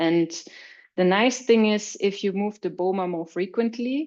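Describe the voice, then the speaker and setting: A woman at medium pitch speaks with a German accent. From Austria. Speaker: agricultural researcher. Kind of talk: webinar presentation. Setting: online webinar. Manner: some hesitations and repetitions.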